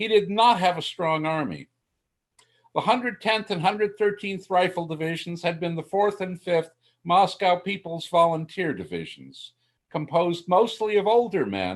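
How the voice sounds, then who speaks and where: A man talks at a fairly slow pace in a high pitch with ordinary pitch variation. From USA. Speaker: military historian. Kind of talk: lecture.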